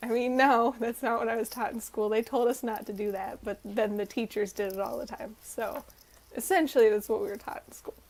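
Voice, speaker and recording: The speaker has a slight Southern US accent and moves at a fairly quick pace. Pitch varies in an ordinary way. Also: woman, fairly high pitch for a woman. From North Carolina, US South. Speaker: student vlogger. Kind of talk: casual vlog talk. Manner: casual, hesitant with fillers.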